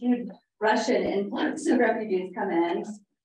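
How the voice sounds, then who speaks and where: Fairly high-pitched woman with ordinary pitch variation. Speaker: distance learning teacher. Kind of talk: conference presentation. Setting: room with live audience and Zoom viewers. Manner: casual, enthusiastic.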